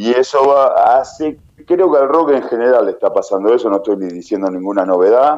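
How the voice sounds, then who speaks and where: A man at a fairly quick pace, medium in pitch, with lively intonation. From Argentina, Tandil. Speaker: rock band leader and singer. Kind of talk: interview.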